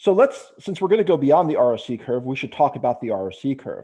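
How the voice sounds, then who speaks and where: A man with an unremarkable speaking voice talks at a fairly quick pace. His pitch is fairly high and his intonation lively. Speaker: conference presenter on medical AI. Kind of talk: lecture.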